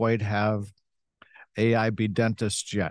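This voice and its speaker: A man's fairly low-pitched voice against a quiet background. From US Midwest, Western Michigan. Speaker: dentist and company executive. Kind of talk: interview. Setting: live event.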